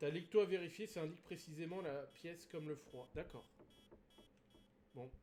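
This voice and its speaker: At a moderate pace, a man with a dark, mellow tone and a high pitch uses ordinary pitch variation, big swings in loudness and long, frequent pauses. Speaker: gaming streamer. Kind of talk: live gameplay stream commentary. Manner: hesitant, many fillers.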